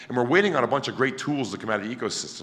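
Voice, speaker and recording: Animated male speech with audible room echo. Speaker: conference speaker presenting a project. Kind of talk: conference talk. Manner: loud.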